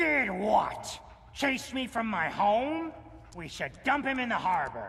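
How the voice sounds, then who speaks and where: Using a put-on character voice, a man speaks at a fairly slow pace in an extremely high pitch with very wide pitch swings over light background noise. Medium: video game. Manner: gruff, stubborn.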